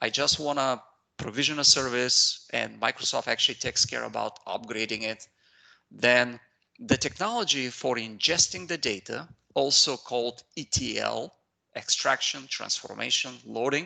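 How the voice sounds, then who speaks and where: At a moderate pace, a man with an Eastern European accent speaks over a quiet background. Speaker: IT consultant and trainer. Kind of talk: technical training webinar. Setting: video call. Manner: hesitant, many fillers.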